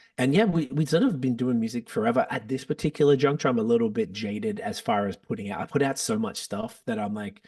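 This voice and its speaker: In an Australian accent, a man speaks at a very fast pace with hardly any pauses. His medium pitch moves in very wide swings. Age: 40s. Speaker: podcast host and rapper. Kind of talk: casual chat.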